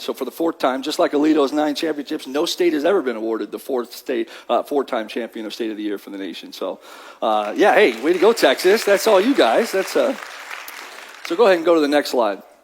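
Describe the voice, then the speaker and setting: An animated tone and lively intonation at a fairly quick pace, over noticeable background noise. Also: man. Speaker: workforce development presenter. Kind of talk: luncheon presentation. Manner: fast.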